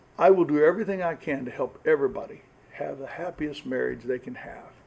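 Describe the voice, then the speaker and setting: Very fast delivery with lively intonation. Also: man, fairly high pitch for a man, big swings in loudness. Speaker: pastor. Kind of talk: marriage seminar talk. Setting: church with live audience. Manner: loud.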